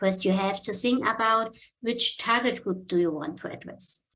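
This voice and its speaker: A woman with a non-native accent speaks at a fairly high pitch. Her pitch variation is ordinary. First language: German. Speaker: marketing and online communication specialist. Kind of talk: conference talk. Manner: halting.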